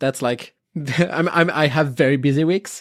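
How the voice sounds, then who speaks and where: A woman with a French accent and very deep, low pitch, in a dry, close, very clean recording with a silent background. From France. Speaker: comic book scholar and podcaster. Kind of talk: casual interview chat. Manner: halting, with many repeated words.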